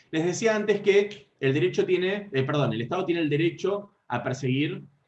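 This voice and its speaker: A man speaks in a somewhat breathy voice with a Rioplatense accent. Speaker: law lecturer. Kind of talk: lecture. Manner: fast.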